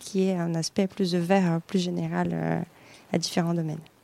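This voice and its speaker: This woman speaks with a Brazilian accent at a fairly quick pace, her medium-pitched voice dark and mellow in tone. The sound is dry and close, with no echo. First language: Portuguese (speaking French). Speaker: atmospheric scientist. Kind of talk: interview. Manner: hesitant, many fillers.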